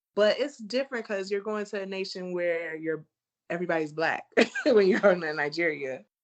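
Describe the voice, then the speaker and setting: The woman here has an American accent and lively intonation. She keeps a moderate pace. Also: medium pitch for a woman. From USA. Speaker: travel blogger. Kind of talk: casual chat.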